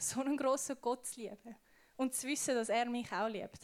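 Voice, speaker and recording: A woman speaks at a moderate pace with a high pitch. Her pitch varies in an ordinary way. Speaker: youth preacher. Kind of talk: sermon. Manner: casual.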